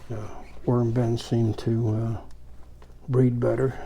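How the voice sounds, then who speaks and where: A man with a medium pitch speaks at a fairly slow pace in a relaxed tone. His voice is dark and mellow, somewhat breathy. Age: 80s+. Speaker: worm farmer and YouTuber. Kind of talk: casual tutorial. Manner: relaxed, conversational with fillers.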